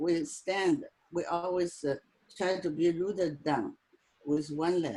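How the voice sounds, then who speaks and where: With a non-native accent, someone talks fairly slowly. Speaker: tai chi practitioner. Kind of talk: online group discussion. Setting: video call.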